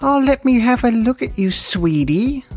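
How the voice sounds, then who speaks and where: In a put-on character voice with cackling, the speaker uses a fairly high pitch at a moderate pace. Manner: sweet yet creepy, cackling.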